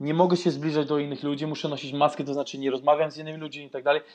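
This clip features a man talking. His voice is pitched fairly high. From Austria, Vienna. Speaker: YouTuber. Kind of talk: casual chat.

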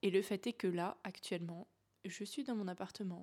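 Here is a woman with an ordinary speaking voice, at a medium pitch and a moderate pace. Her intonation is fairly even, and the recording is very clean with a silent background. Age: 20s. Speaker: life coach and podcast host. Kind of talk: casual solo monologue. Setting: home, in her apartment.

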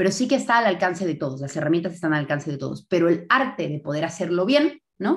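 A woman talks at a very fast pace in a somewhat breathy voice with very wide pitch swings, on a very clean recording with a silent background. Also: fairly low pitch for a woman, hardly any pauses. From Bolivia. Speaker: entrepreneur, event marketing expert. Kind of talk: casual interview. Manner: animated.

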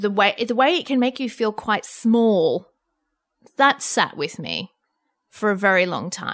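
A woman with an Australian accent and a fairly high pitch talks at a fairly slow pace with lively intonation, leaving long, frequent pauses. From Australia, Lebanese background. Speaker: journalist and media commentator. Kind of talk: interview conversation. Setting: remote interview during self-isolation.

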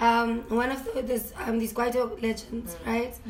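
A woman speaks in a high voice. There is noticeable background noise. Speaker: podcast guest, performer.

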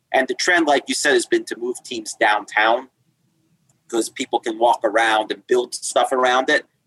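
The speaker has a New York accent and keeps a moderate pace. The sound is dry and close, with no echo. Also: man. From Long Island, New York. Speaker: attorney guest. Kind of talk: casual interview conversation.

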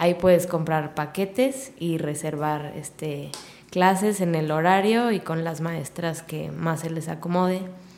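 At a fairly slow pace, a woman speaks in a fairly low pitch with ordinary pitch variation. Audible room echo and noticeable background noise surround her voice. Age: 20s. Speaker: fitness studio owner. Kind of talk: casual interview.

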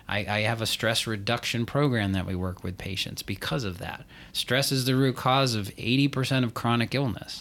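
An unremarkable speaking voice at a moderate pace, with ordinary pitch variation and hardly any pauses. The recording is very clean, with a silent background. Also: man, medium pitch for a man. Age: 40s. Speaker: functional medicine pharmacist. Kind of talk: casual podcast chat.

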